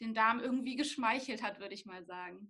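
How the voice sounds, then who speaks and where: A woman's fairly high voice with a bright, sharp tone at a fairly quick pace. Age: 20s. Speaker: nutrition student and blogger. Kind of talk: interview.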